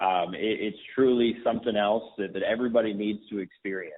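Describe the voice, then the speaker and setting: This voice has an American accent and fairly even intonation. It is an unremarkable speaking voice. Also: man. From Texas, north Dallas. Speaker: young conservative campaign organizer. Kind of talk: interview.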